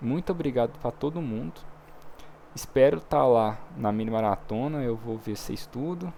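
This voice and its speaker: Lively intonation colors a man's dark, mellow tone at a medium pitch. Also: moderate pace. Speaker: programming teacher. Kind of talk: online class.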